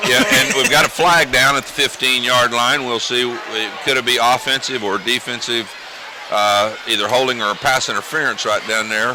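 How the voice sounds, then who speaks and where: Over noticeable background noise, a man talks with fairly even intonation at a medium pitch. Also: moderate pace. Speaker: high school football color commentator. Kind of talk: live commentary.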